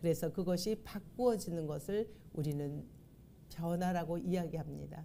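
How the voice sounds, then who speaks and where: A woman's fairly low, dark, mellow voice at a moderate pace with ordinary pitch variation, in audible room echo. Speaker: pastor. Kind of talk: sermon. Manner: formal.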